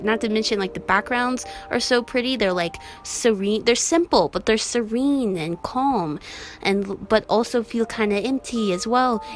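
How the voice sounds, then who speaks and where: Over music in the background, a woman with a fairly high pitch speaks at a moderate pace in an upbeat, enthusiastic tone with ordinary pitch variation. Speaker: artist, webcomic creator. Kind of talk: casual voiceover commentary.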